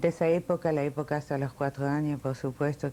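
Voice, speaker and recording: A woman speaks at a moderate pace with a very deep, low pitch. Her tone is dark and mellow, her intonation monotone and flat. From France (Paris), born in Milan. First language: Italian, then French (speaking Spanish). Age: 60s. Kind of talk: oral history interview.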